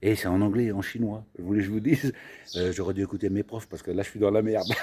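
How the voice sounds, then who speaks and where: Fairly low in pitch with a dark, mellow tone, a man speaks at a very fast pace. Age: 60s. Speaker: travel vlogger. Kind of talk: casual vlog chat. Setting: outdoors. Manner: animated.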